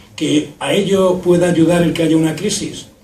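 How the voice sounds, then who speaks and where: A man speaks with audible room echo. Noticeable background noise runs through the clip. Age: 60s. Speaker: retired doctor and former health administrator giving a talk. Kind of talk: public talk. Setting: public event with audience.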